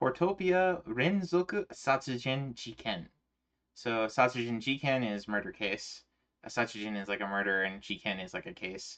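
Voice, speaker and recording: With an American accent, a man at a medium pitch talks at a moderate pace with very wide pitch swings. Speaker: streamer. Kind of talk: casual chat.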